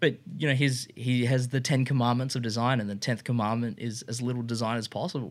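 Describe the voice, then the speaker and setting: A man talks fairly quickly with hardly any pauses and fairly even intonation, in an Australian accent. The recording is very clean, with a silent background. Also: medium pitch for a man. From Australia (Brisbane from grade seven). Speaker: industrial designer and motorcycle shop co-founder. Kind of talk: casual interview chat. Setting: studio room.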